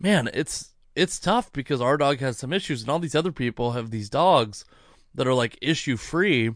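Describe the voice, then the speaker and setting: A man's fairly high-pitched voice, a normal speaking voice, with ordinary pitch variation at a moderate pace against a quiet background. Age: 30s. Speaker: podcast host and comedian. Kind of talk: casual chat.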